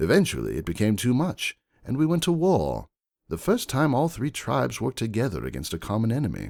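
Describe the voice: A man does a put-on character voice with vocal fry, a slightly mellow tone and very wide pitch swings at a fairly quick pace. The recording is very clean, with a silent background. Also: medium pitch for a man.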